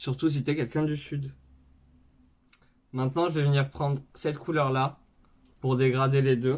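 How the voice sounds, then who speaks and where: With long, frequent pauses, a man talks at a fairly high pitch in a monotone, flat intonation. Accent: southern French. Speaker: makeup YouTuber. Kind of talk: makeup tutorial. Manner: casual, filler-heavy.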